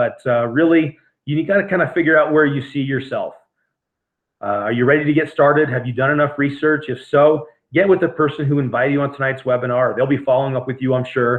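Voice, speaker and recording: Talking at a very fast pace, a man with a fairly high voice keeps his intonation fairly even. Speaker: network marketing distributor. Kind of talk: sales presentation webinar. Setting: home office webinar.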